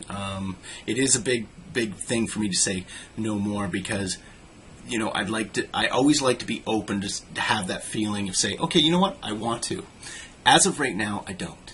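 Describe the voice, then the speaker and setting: With ordinary pitch variation, a man speaks in a fairly low voice. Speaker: vlogger. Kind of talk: casual vlog monologue. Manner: fast; halting, many fillers.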